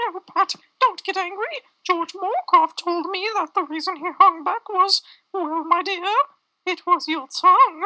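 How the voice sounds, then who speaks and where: A woman does a squeaky put-on character voice at an extremely high pitch, with ordinary pitch variation and big swings in loudness. She speaks at a moderate pace, and the sound is dry and close with no echo. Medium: stage play. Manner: earnest, cautioning.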